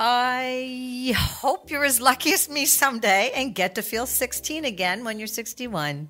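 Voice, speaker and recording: Speaking fairly slowly with hardly any pauses, a woman with a Canadian accent has a high pitch, a bright, sharp tone and lively intonation. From Canada.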